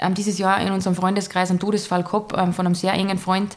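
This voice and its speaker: Talking at a very fast pace, a woman keeps a medium pitch and a monotone, flat intonation. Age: 30s. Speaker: entrepreneur and influencer. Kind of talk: casual interview chat.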